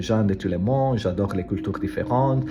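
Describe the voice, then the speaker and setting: A man talks at a fairly low pitch while noticeable background noise is heard. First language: Italian (speaking French). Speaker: language learner vlogger. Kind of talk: casual vlog monologue. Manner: halting, many hesitations and repetitions.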